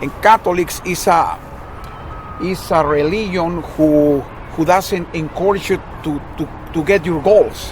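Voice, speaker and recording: With a Mexican accent and a high pitch for a man, a man speaks at a fairly slow pace with fairly even intonation and long, frequent pauses, against noticeable background noise. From Mexico, Guadalajara. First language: Spanish. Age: 60s. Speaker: retired social studies teacher. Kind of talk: casual chat. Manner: halting, repetitive.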